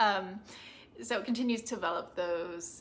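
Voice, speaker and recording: At a fairly slow pace, a woman speaks in a plain, everyday voice of medium pitch with ordinary pitch variation. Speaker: booktuber. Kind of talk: casual review monologue.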